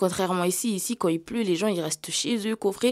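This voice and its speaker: With a medium pitch and ordinary pitch variation, a woman speaks at a moderate pace on a very clean recording with a silent background. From Mayotte (Bandrélé, south). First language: Kibushi (Malagasy variety) (speaking French). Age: 20s. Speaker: young trainee sharing her life story. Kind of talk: podcast testimony. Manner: hesitant, many fillers and repetitions; casual youthful slang.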